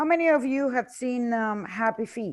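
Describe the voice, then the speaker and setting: Against a quiet background, a woman with a Spanish accent speaks at a moderate pace with ordinary pitch variation. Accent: Spanish-speaking. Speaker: tour presenter. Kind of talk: sales presentation.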